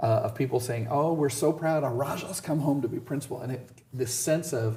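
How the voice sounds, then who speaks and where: A man speaks at a moderate pace with an American accent, his tone dark and mellow and somewhat breathy. His intonation is fairly even, and there is audible room echo. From US West, Southern California (Indio). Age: 60s. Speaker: school principal. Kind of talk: interview.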